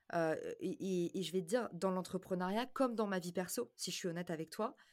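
A woman speaks at a moderate pace and a fairly low pitch. Her pitch variation is ordinary, and the recording is very clean with a silent background. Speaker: marketing entrepreneur and podcaster. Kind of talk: interview conversation. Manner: animated.

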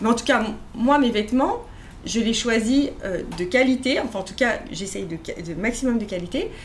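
A woman speaks at a moderate pace with a fairly high pitch, ordinary pitch variation and audible room echo. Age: 40s. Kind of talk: interview conversation. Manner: halting, many repetitions and fillers.

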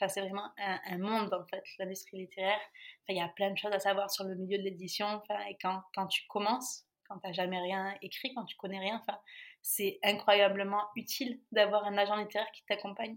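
At a moderate pace and medium pitch, a woman speaks in a monotone, flat intonation with big swings in loudness. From France. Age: 30s. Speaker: author and project founder. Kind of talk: interview. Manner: halting.

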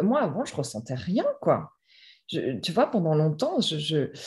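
A woman speaks in a somewhat breathy voice with a dark, mellow tone. The background is quiet. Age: 30s. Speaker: author. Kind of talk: personal testimony. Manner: halting, many repetitions and fillers.

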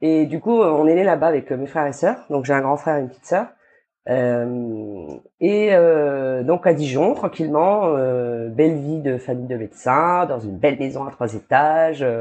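Her very deep, low pitch paired with lively intonation, a woman speaks at a fairly slow pace. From New Caledonia. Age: 30s. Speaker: entrepreneur. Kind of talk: interview.

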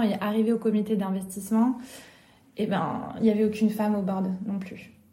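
A woman's fairly high-pitched, monotone, flat delivery at a moderate pace, with audible room echo. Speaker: entrepreneur. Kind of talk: interview. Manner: talkative.

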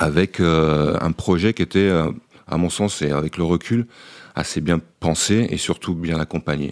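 Pitched very deep and low with ordinary variation, a man speaks in a dry, close sound with no echo. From France, Beaujolais region. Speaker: former volleyball international, mental coach. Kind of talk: radio interview. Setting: hotel lounge. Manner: halting, many repetitions.

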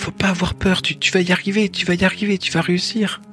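Clear music plays behind a soft-spoken, put-on character voice that moves at a fairly quick pace with a middle pitch. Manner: gentle, encouraging.

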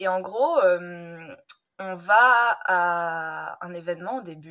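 A woman's voice sits at a medium pitch. Her tone is bright and sharp. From France, Drôme (Valence). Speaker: language teacher. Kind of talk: casual chat. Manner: animated.

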